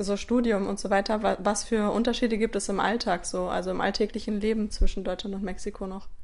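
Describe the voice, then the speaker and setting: Over a quiet background, a woman speaks at a moderate pace with a fairly high pitch and monotone, flat intonation. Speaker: podcast host and German teacher. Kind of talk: casual interview. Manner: hesitant, many fillers.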